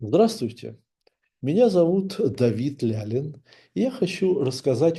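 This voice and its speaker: Very slowly, a man speaks in a somewhat breathy voice with a dark, mellow tone and very wide pitch swings. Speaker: author. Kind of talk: book introduction. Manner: formal.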